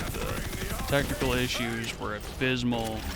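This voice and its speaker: A man is speaking in a room with audible echo. Noticeable background noise runs underneath. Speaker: gaming youtuber. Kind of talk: let's play commentary. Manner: halting.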